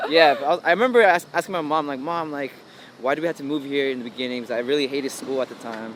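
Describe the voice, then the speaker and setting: A man with a Los Angeles accent, fairly high-pitched, at a very fast pace with ordinary pitch variation over noticeable background noise. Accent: American English, Los Angeles. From South Korea, moved to Los Angeles area in third grade. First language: Korean. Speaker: electronic music producer. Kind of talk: casual interview.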